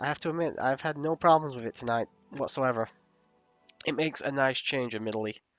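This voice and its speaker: Over music in the background, a man at a medium pitch speaks at a very fast pace with ordinary pitch variation and long, frequent pauses, in a dry, close sound with no echo. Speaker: gaming streamer. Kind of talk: live stream commentary.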